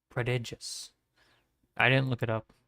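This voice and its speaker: At a moderate pace, a man with a medium-pitched voice speaks in a flat monotone, his bright, sharp tone captured in a dry, close recording with no echo. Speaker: vtuber streamer. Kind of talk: live game commentary.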